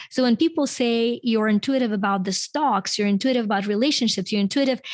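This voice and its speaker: The recording is very clean, with a silent background. A woman with a fairly high pitch talks at a very fast pace, using ordinary pitch variation. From Ukraine. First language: Ukrainian and Russian. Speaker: author and self-help coach. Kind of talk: podcast interview.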